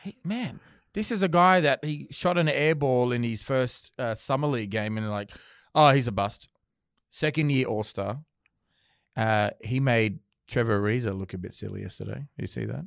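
With an Australian accent, a man speaks at medium pitch and a moderate pace, his intonation lively, in a very clean recording with a silent background. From Australia, Sydney. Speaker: sports podcast host. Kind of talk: casual chat. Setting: studio.

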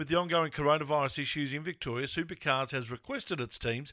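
On a very clean recording with a silent background, a man with an Australian accent speaks fairly quickly at a fairly high pitch, his tone bright and sharp and his intonation lively. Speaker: podcast host. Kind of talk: casual chat.

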